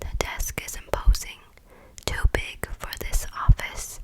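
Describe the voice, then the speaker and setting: A woman is whispering, a little slowly, with noticeable noise behind her. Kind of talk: whispered audiobook-style reading of a YA romance novel, ASMR. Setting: close microphone recording. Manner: whispered, soft.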